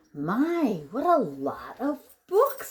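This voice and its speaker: The voice sounds female and pitched high. It is a put-on character voice. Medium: read story. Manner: timid, hopeful.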